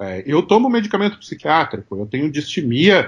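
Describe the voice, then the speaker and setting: Delivery moves at a moderate pace with very wide pitch swings. The voice is somewhat breathy. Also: man. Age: 40s. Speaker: marketing consultant and professor. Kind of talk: interview.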